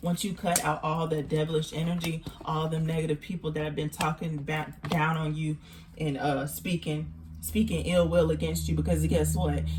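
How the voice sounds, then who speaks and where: With a Texan accent, a woman speaks at a moderate pace. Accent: country Texan. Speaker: tarot reader. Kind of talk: tarot reading. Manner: casual, repetitive, halting.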